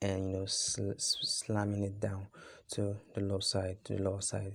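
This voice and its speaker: Somewhat breathy, a man speaks at a fairly low pitch and a moderate pace. His intonation is monotone and flat, and his loudness very even. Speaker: forex trading educator. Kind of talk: tutorial. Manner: halting, many fillers.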